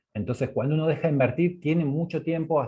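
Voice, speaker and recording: A man is speaking. His voice is somewhat breathy. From Argentina. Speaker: energy economics researcher. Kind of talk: online course presentation. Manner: halting, with many fillers.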